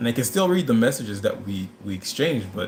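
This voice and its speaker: A somewhat breathy male voice at a moderate pace. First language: not English. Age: 30s. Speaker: livestream host. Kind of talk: casual chat. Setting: live stream. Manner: halting.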